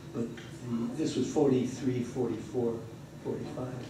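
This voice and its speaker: A man speaks at a fairly slow pace. Audible room echo and noticeable background noise fill the recording. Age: 90s. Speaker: retired physician and WWII veteran, audience member. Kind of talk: audience comment at a lecture.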